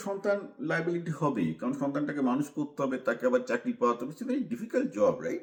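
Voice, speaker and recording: A man speaks with very wide pitch swings. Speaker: commentator / vlogger. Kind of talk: monologue commentary.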